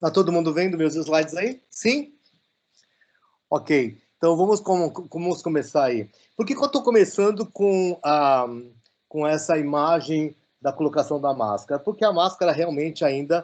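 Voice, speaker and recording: Speaking at a fairly slow pace with long, frequent pauses, a man uses a fairly high pitch and lively intonation. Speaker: professor giving a lecture. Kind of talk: online lecture. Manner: halting with many fillers.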